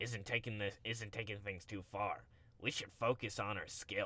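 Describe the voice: The speaker is doing plain reading aloud.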